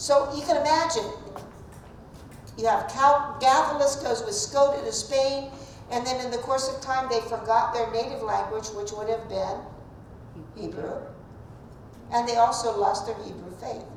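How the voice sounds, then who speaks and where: In a southeastern Ohio accent, a woman talks at a high pitch and a moderate pace, with long, frequent pauses and big swings in loudness, in audible room echo and noticeable background noise. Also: ordinary pitch variation. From US Midwest, southeastern Ohio. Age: old. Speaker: Bible teacher. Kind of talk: Bible class lecture. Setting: church classroom, also streamed. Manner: conversational.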